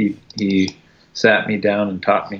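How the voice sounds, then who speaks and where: A man with an American accent talks very slowly in a fairly low pitch. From US. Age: 40s. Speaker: artist. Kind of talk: casual interview chat. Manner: halting, many fillers.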